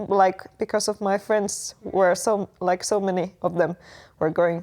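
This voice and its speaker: With a Finnish accent, a woman speaks at a fairly slow pace on a very clean recording with a silent background. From Finland. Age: 20s. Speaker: exchange student. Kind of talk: casual interview. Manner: halting, many fillers.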